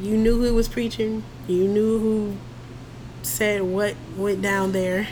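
A woman with an American accent speaks at a very slow pace. Noticeable background noise and audible room echo fill the recording. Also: medium pitch for a woman, ordinary pitch variation, very even loudness. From Philadelphia, US. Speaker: podcast guest, mother. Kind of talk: casual chat.

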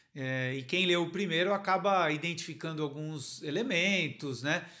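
The delivery is fairly slow, with a bright, sharp tone and ordinary pitch variation. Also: man. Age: 40s. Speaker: novelist. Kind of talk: interview. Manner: hesitant, many fillers.

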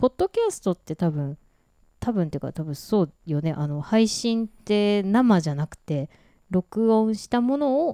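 Recorded very cleanly against a silent background, a woman with a medium pitch and a dark, mellow tone speaks in a dry, close sound with no echo. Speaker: podcast co-host. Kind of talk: casual chat. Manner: relaxed, slow-paced.

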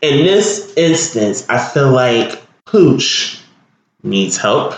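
A man speaks with lively intonation. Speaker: podcast host. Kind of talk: casual solo podcast monologue. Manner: casual, filler-heavy with frequent ums.

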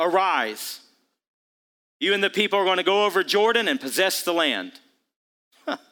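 In a very clean recording with a silent background, a man with a high pitch and a bright, sharp tone projects his raised voice at a moderate pace, with ordinary pitch variation and long, frequent pauses. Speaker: pastor. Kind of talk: sermon, preacher in full flow building to a rallying call. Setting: church with live congregation. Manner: rousing, emphatic repetition of short punchy declarations; calls out to congregation for amens, counting points.

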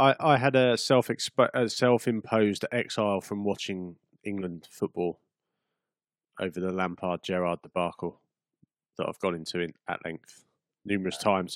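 Long, frequent pauses break up a man's speech at a moderate pace, with ordinary pitch variation in dry, close sound with no echo. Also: fairly low pitch for a man. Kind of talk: heated debate. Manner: dry, exasperated, calling out interruptions.

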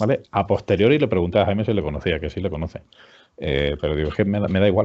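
A man is speaking. He talks at a very fast pace. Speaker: HR director and business school teacher. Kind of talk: interview.

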